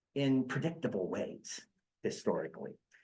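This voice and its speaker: A man speaks at a fairly slow pace with an American accent. There's audible echo in the room. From western Pennsylvania (Mercer, near Pittsburgh). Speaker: history professor. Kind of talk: lecture. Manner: hesitant, many fillers and repetitions.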